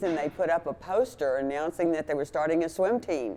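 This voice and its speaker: A woman speaks in a very deep, low pitch. Her pitch varies in an ordinary way. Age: 80s+. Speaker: masters swimmer and gym member. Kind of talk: interview testimony.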